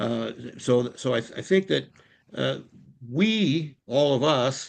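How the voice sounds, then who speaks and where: A man is speaking. Vocal fry runs through his voice. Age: 70s. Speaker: political activist. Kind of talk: public meeting discussion. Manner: halting, many repetitions.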